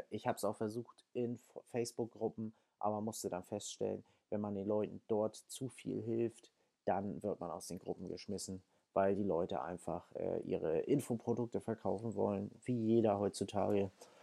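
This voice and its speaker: A man's voice has a dark, mellow tone and moves at a moderate pace. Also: fairly low pitch for a man. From Hamburg, northern Germany. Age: 20s. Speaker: podcast host. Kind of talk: solo podcast monologue. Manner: casual with filler words.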